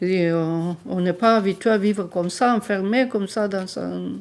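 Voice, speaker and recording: Speaking at a fairly slow pace, a woman with a medium pitch shows ordinary pitch variation. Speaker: elderly resident interviewee. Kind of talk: testimony. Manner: halting.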